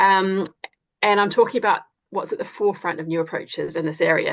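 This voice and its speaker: This voice carries a New Zealand accent, moving at a fairly quick pace with fairly even intonation. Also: woman. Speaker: academic researcher. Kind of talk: webinar presentation. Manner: hesitant, many fillers.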